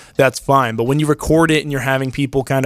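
In a very clean recording with a silent background and a dry, close sound with no echo, a man talks very fast at a medium pitch with fairly even intonation. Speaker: sports analyst, co-host. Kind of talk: casual sports talk, picks.

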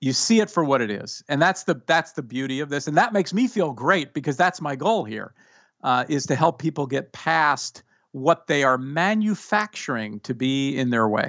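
A man has an unremarkable speaking voice at a fairly high pitch. He talks at a moderate pace with lively intonation. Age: 50s. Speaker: executive coach and author. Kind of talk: interview.

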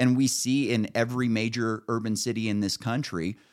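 The recording is very clean, with a silent background. In it, a man talks in an American accent. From Northern California. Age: 30s. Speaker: podcast host. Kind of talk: casual political chat.

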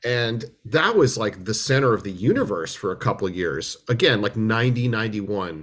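A man at medium pitch with an American accent, moderate pace, ordinary pitch variation and hardly any pauses. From US West Coast, Berkeley, California. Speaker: musician and film restorer. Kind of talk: interview. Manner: halting, many repetitions.

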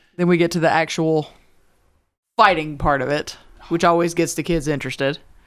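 With a Southern US accent, a woman talks in a fairly low voice at a fairly quick pace and fairly even intonation. She leaves long, frequent pauses, and the recording is very clean with a silent background. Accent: Southern twang. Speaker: high school history teacher. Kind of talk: casual chat.

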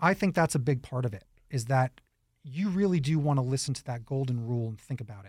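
In a very clean recording with a silent background, a man with an American accent talks at a very fast pace. His medium-pitched voice is somewhat breathy, with lively intonation and big swings in loudness. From New York. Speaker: radio host. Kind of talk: interview.

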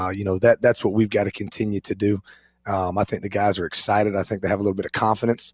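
Speaking very fast with an American accent, a man keeps his fairly low voice flat and monotone. The recording is very clean and dry, close with no echo, over a silent background. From western North Carolina, Asheville. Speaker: assistant football coach.

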